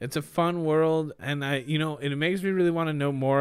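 The recording is very clean, with a silent background. A man with a plain, everyday voice speaks at a moderate pace with ordinary pitch variation. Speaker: podcaster. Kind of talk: casual chat. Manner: joking, playful.

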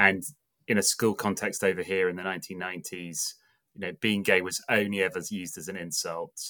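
A man with an English accent talks fairly quickly in a very deep, low pitch with a bright, sharp tone. His intonation is monotone and flat, on a very clean recording with a silent background. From England. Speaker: pastor. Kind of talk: casual chat.

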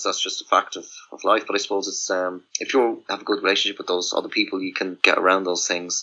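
Talking at a very fast pace, a man speaks in a rural Irish accent. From rural Ireland. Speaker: musician. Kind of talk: casual chat. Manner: halting.

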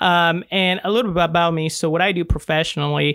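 A man talks in a plain, everyday voice. His pace is moderate and his intonation fairly even. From Mexico, raised in Salem, Oregon. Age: 20s. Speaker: financial strategy business owner. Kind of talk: interview conversation. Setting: studio.

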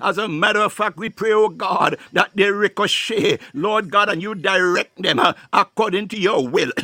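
A man speaks in a raised, projected voice at a high pitch with ordinary pitch variation. His pace is moderate, and there is noticeable background noise. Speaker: prayer leader. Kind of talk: fervent prayer with speaking in tongues, devotional. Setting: online live prayer broadcast. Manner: fervent, rhythmic, pleading, repetitive.

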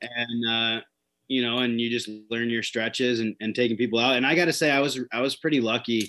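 Against a quiet background, a man with an unremarkable speaking voice talks at a medium pitch with fairly even intonation. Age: 30s. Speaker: fishing guide. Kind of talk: casual interview.

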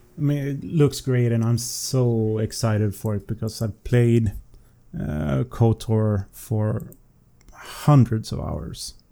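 Very slow speech from a man with a Swedish accent, medium pitch and ordinary pitch variation. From Sweden. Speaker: listener guest, night-shift worker. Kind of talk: casual chat. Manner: halting.

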